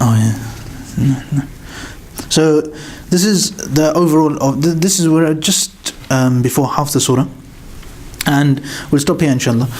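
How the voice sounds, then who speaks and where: A man with a fairly high pitch speaks at a fairly slow pace, with long, frequent pauses, ordinary pitch variation and very even loudness. Noticeable background noise and audible room echo fill the recording. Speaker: Quran teacher. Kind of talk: religious lecture.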